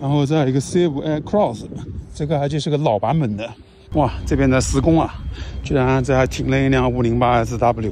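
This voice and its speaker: The speaker keeps a moderate pace with ordinary pitch variation. The sound is dry with no echo, over light background noise. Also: man. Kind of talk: casual vlog commentary. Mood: relaxed, mildly excited. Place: street. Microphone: phone near.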